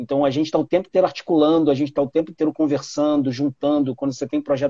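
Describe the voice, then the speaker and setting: The voice has a dark, mellow tone and fairly even intonation. Its sound is dry and close, with no echo. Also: man. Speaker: podcast host, product manager. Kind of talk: casual chat.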